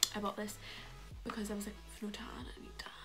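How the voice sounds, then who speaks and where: A woman talks at a moderate pace. Clear music can be heard behind her. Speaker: beauty and fashion vlogger. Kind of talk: casual haul video talk to camera. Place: home room. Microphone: phone near.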